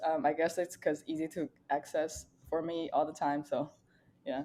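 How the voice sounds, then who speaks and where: At a moderate pace, a woman with a Chinese accent speaks in a fairly low, dark, mellow tone. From China, near Nanjing. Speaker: data scientist. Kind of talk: podcast interview.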